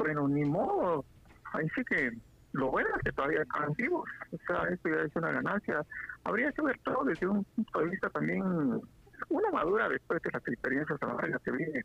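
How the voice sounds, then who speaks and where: A man's voice at a fairly quick pace, very even in loudness, dry and close with no echo, over noticeable background noise. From Guatemala, Quetzaltenango (Xela). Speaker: guest. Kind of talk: casual chat.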